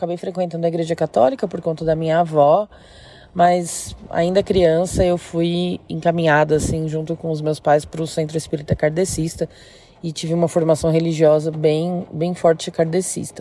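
The woman's fairly low voice stays monotone, with flat intonation. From interior of São Paulo state, Brazil. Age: 30s. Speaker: listener sharing a paranormal story. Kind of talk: personal storytelling.

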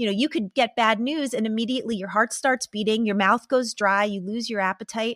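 Fairly quick and with hardly any pauses, a woman talks in an ordinary speaking voice, fairly high in pitch with fairly even intonation. The recording is very clean with a silent background and a dry, close sound with no echo. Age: 40s. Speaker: psychotherapist and author. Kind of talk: interview conversation.

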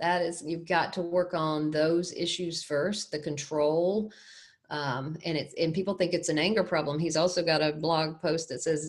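A woman has a normal speaking voice, a fairly low pitch and fairly even intonation at a moderate pace. The recording is very clean, with a silent background. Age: 60s. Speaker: domestic abuse ministry director and survivor. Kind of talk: interview.

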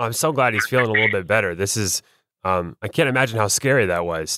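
A fairly quick speaker is captured in a very clean recording with a silent background and a dry, close sound with no echo. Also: man. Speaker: podcast host. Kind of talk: scripted narration.

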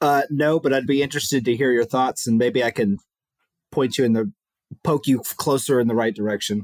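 A man with an American accent speaks at a fairly quick pace and a medium pitch, with ordinary pitch variation. The sound is dry and close, with no echo. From Huntsville, Alabama. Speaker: aerospace engineer, quiz contestant. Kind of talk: casual chat.

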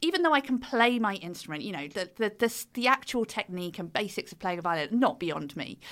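Speaking at a fairly quick pace with a British accent, this voice has a bright, sharp tone on a very clean recording with a silent background. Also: woman. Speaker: author and fiddle player. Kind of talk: interview about her book.

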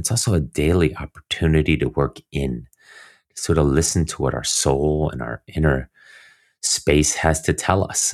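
In a very clean recording with a silent background and a dry, close sound with no echo, a man with a very deep, low pitch speaks at a moderate pace in a calm, soothing tone. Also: ordinary pitch variation. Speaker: endurance coach and former swimmer. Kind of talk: interview conversation.

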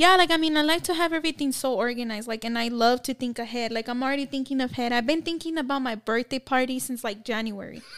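A woman with a high voice talks very fast, hardly pausing, with ordinary pitch variation. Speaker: guest. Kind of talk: casual chat. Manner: laughs often, joking.

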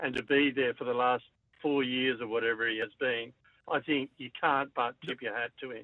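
This man has an Australian accent and a medium pitch. His intonation stays fairly even. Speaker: caller. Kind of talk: casual radio call-in. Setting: phone call.

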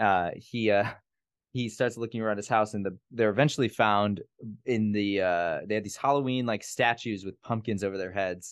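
A man with an American accent and a plain, everyday voice, fairly low in pitch, at a moderate pace with fairly even intonation against a quiet background. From US Midwest, Gary, Indiana. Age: 20s. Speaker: podcast host, drag performer. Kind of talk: casual chat.

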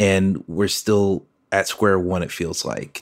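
On a very clean recording with a silent background, a man speaks at a fairly slow pace. He has a fairly low pitch and an ordinary speaking voice. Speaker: listener sharing a message. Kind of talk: voice memo, personal reflection.

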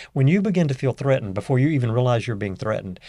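With a Southern US accent, a man speaks very fast in a dark, mellow tone at medium pitch. The recording is very clean, the background silent. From US South, northeast Louisiana. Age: 60s. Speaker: leadership coach. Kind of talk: casual interview chat.

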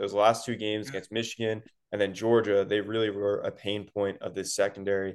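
A man with an unremarkable speaking voice talks at a fairly quick pace in a fairly low pitch. The background is quiet. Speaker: sports analyst.

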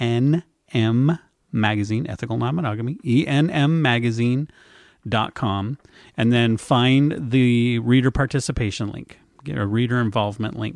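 A man with an American accent speaks in a plain, everyday voice at a medium pitch. His pace is moderate with ordinary pitch variation, over a quiet background. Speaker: podcast host. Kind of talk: casual chat, interview. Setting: remote long-distance interview.

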